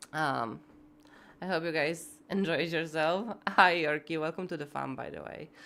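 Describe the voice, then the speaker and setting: A woman's very deep, low voice, bright and sharp in tone with vocal fry, at a fairly slow pace, with ordinary pitch variation and big swings in loudness. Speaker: live streamer, gamer. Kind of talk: casual chat. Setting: live stream.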